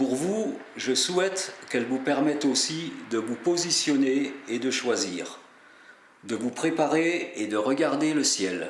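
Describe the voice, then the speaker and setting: Heard through audible room echo and noticeable background noise, the speech has lively intonation and a very slow pace. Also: man, fairly high pitch for a man. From Alsace, France. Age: 60s. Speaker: pilgrim and religious video maker. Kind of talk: scripted narration. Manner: formal.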